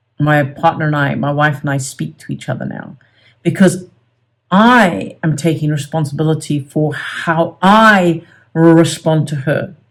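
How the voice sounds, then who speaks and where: A woman's very deep, low-pitched voice on a very clean recording against a silent background. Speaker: self-help coach. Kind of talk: tutorial. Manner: halting.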